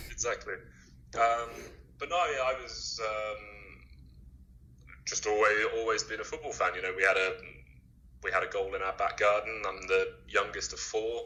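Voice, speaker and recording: An English accent at a moderate pace, with long, frequent pauses. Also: man. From England. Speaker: streetwear brand founder. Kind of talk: podcast interview.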